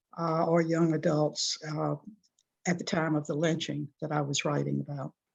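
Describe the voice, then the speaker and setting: Using an American accent, a woman talks at a moderate pace in a very deep, low voice with vocal fry and monotone, flat intonation. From US South, Columbus, Georgia. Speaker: journalist and author. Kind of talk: interview.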